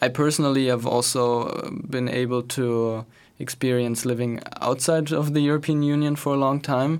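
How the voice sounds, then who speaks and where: A man speaks at a moderate pace with a medium pitch. His intonation stays fairly even and his loudness very even. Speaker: youth think tank fellow. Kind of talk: panel discussion. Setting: radio studio.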